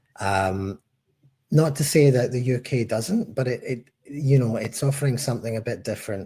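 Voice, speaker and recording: A man with a Scottish accent speaks at a moderate pace with ordinary pitch variation and a somewhat breathy quality. The recording is very clean, with a silent background. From Scotland, Glasgow. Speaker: head of tax at a tech company. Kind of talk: podcast interview.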